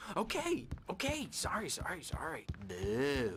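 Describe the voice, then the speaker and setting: Over clear background noise, a man puts on a character voice and talks at a fairly slow pace. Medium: video game. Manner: erratic, playful.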